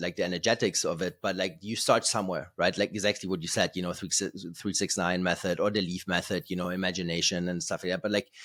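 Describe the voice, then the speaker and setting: Very deep and low in pitch, a man speaks at a very fast pace with a German accent. The recording is very clean, with a silent background. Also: fairly even intonation. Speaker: podcast host. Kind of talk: casual chat. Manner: halting, many fillers and repeated words.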